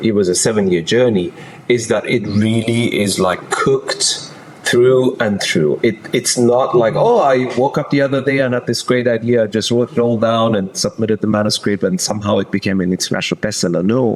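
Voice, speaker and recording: A man with a non-native accent at a medium pitch, fairly quick pace, very even loudness and ordinary pitch variation, over noticeable background noise. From Germany. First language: not English. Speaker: executive transition coach. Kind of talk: podcast interview.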